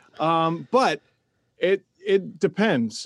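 A man speaks with an Ontario accent. His intonation is lively. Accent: Canadian (Ontario). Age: 30s. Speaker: hockey commentator and podcaster. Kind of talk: casual interview chat.

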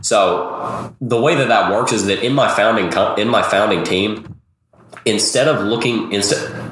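A man talks at a moderate speed while audible room echo and noticeable background noise fill the recording. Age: 20s. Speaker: crypto YouTuber and company founder. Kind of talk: casual interview.

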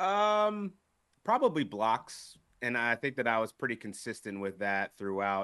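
Over a quiet background, a man with an American accent speaks at a medium pitch in a bright, sharp tone. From Philadelphia, US. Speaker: fantasy sports analyst. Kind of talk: casual podcast interview. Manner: many filler words (um).

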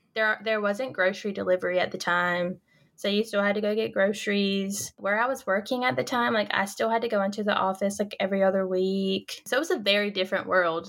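With a North Carolina accent, a woman speaks at a fairly quick pace in a medium pitch with ordinary pitch variation and hardly any pauses. The recording is very clean, with a silent background. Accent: Southern US, North Carolina. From North Carolina, small farm town. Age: 20s. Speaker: grad student. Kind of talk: casual interview chat.

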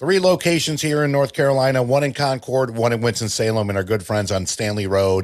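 In a very clean recording with a silent background, a man uses a normal speaking voice at medium pitch, moderate pace and ordinary pitch variation. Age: 40s. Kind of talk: podcast intro and outro with sponsor reads; casual interview chat.

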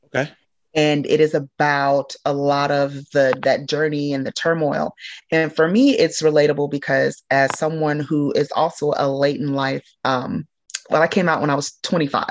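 With an American accent, the speaker talks at a moderate pace with fairly even intonation. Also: woman, very deep, low pitch for a woman. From Illinois, US Midwest. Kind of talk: casual interview.

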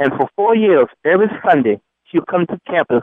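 In a plain, everyday voice with an American accent, the speaker talks at a fairly quick pace with lively intonation. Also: man. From US South, then the Bronx, New York. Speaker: former college basketball player. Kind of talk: interview.

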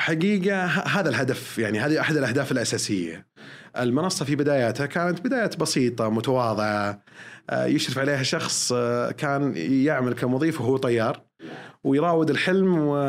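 A man with a plain, everyday voice speaks at a fairly high pitch and a moderate pace, with lively intonation and very even loudness. The recording is very clean, and the background is silent. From Saudi Arabia, Eastern Province. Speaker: airline pilot. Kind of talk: podcast interview. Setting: studio.

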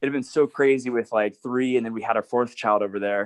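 A plain, everyday voice, a man at a fairly quick pace with medium pitch and fairly even intonation, the sound dry and close with no echo over a quiet background. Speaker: children's book author. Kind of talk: casual chat.

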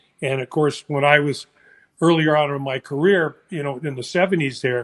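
In a normal speaking voice, a man talks at a moderate pace with a fairly high pitch and fairly even intonation, recorded dry and close with no echo against a quiet background. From San Francisco, California. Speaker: former baseball player. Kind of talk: casual chat.

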